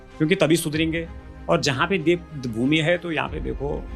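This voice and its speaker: A man talks at a moderate pace with music behind him. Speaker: Garhwali folk singer and songwriter. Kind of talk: interview answer.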